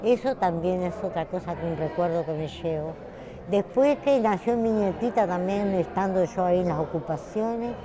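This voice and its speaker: A woman with a medium-pitched voice talks at a moderate pace with ordinary pitch variation over noticeable background noise. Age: 70s. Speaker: retired textile worker. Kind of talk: interview.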